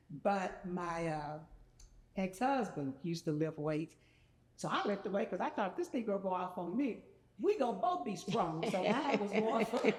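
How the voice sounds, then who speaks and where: A woman talks at a moderate pace, her intonation lively, while noticeable noise runs in the background. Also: medium pitch for a woman. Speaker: podcast guest. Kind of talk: casual chat.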